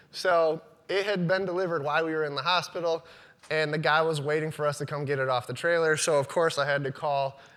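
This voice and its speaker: At a fairly quick pace, a man with a fairly high pitch talks in an unremarkable speaking voice. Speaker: business owner giving a talk. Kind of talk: conference talk.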